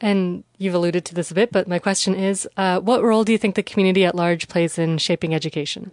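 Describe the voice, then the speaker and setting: With a Canadian accent, a woman talks at a very fast pace with hardly any pauses, medium pitch and fairly even intonation, in a dry, close sound with no echo. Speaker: podcast host, local journalist. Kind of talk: scripted narration and interviews.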